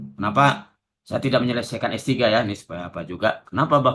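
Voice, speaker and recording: A man talks at a very fast pace with lively intonation and a bright, sharp tone. The background is quiet. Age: 60s. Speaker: university lecturer. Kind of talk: lecture. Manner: casual, conversational.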